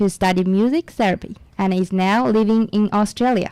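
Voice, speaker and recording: At a fairly slow pace, a woman with a dark, mellow tone speaks at medium pitch with fairly even intonation, in a dry, close sound with no echo. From China. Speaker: radio co-host. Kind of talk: radio show introductions. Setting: radio studio.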